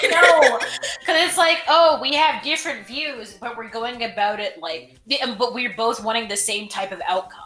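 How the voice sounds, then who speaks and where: A woman speaks at a moderate pace with a high pitch and very wide pitch swings. Noticeable background noise runs behind her. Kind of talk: casual podcast chat.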